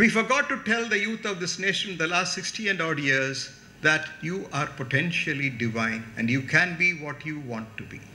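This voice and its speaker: Over noticeable background noise and audible room echo, a man with a Tamil accent talks with hardly any pauses at a fairly high pitch, swinging very widely in pitch. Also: moderate pace. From India, Tamil Nadu. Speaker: chief guest speaker. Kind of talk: lecture. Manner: animated.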